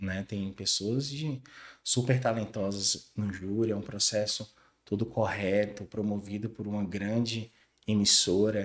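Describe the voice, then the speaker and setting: On a very clean recording with a silent background, a man speaks at a fairly slow pace. His pitch is fairly low and his intonation monotone and flat. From Brazil, western Bahia (Barreiras). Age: 30s. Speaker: creative agency co-founder. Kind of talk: interview conversation.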